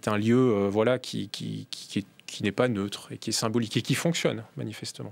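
Ordinary pitch variation comes with a fairly slow delivery. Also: man. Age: young. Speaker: member of parliament. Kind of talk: political debate. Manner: halting.

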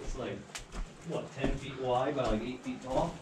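A man at a moderate pace with ordinary pitch variation, over loud background noise. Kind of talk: casual exploration commentary. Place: tunnel cave.

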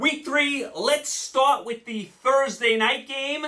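A man speaks in a raised, projected voice. The background is quiet. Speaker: sports picks host. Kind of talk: commentary.

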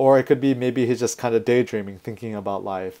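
A man does the talking. Behind him, the background stays quiet. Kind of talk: lecture. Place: home room.

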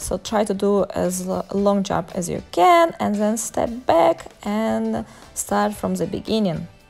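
Faint music sits in the background behind a woman's voice. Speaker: fitness instructor. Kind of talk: workout instruction with counting.

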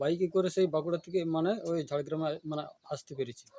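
This man speaks with a fairly high pitch. His intonation stays fairly even. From Bankura district, West Bengal. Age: 40s. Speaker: customer giving testimonial. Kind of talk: testimony. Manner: halting.

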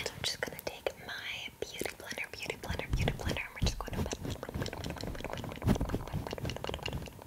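A soft-spoken woman is whispering. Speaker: ASMR creator. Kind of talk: ASMR role-play whispering, soft talk. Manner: soft close-mic ASMR whisper, rapid. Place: home room. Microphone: studio mic.

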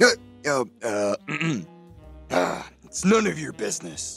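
A man does a cartoonish character voice at a slow pace, with big pitch swings, vocal fry and a slightly husky edge. Faint music plays in the background. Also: medium pitch for a man.

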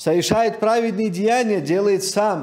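Over a quiet background, a man speaks at a fairly slow pace. His pitch is high, with ordinary variation. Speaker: preacher. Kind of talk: sermon. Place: church. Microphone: podium.

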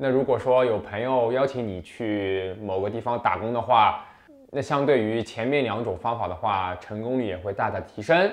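A man is speaking. His pace is moderate and his pitch variation ordinary. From China. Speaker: international student vlogger. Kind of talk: casual advice monologue. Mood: relaxed, friendly. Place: home room. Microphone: lapel.

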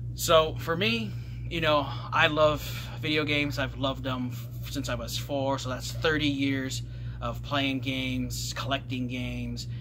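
A man talks at a fairly slow pace over noticeable background noise. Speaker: gaming YouTuber. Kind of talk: casual vlog monologue. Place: home room. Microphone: webcam.

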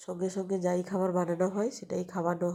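A woman's voice is heard here. It rests at a medium pitch. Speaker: vlogger. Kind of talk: casual vlog narration. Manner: halting.

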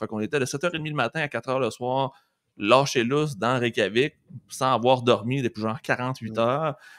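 Medium-pitched man with a Quebec accent against a quiet background. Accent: Québécois French. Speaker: teacher and podcast co-host; teacher, podcast co-host. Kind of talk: casual chat. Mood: relaxed, enthusiastic storytelling. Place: home room. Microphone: studio mic.

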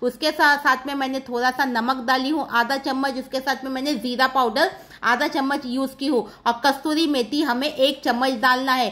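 A woman talks at a moderate pace with a high pitch and a bright, sharp tone. Her intonation is monotone and flat. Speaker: cooking vlogger. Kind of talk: cooking tutorial. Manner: chatty. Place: kitchen. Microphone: phone near.

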